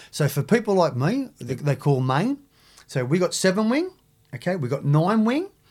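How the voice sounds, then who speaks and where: With very wide pitch swings at a moderate pace, the voice comes through in a very clean recording with a silent background. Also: man, high pitch for a man. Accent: Australian. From Australia, Sydney (Maroubra). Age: 50s. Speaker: big wave surfer, former drug smuggler. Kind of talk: interview. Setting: studio. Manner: halting.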